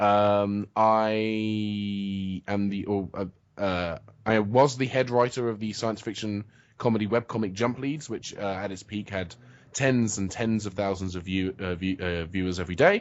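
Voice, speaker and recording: This man's fairly low voice moves at a fairly slow pace with fairly even intonation. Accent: British. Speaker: comic writer and video blogger. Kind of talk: interview. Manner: halting, many fillers and restarts.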